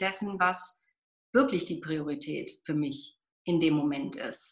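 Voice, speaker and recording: A woman's bright, sharp voice at a fairly slow pace, with very wide pitch swings. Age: 50s. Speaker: pediatrician. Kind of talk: interview. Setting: podcast interview.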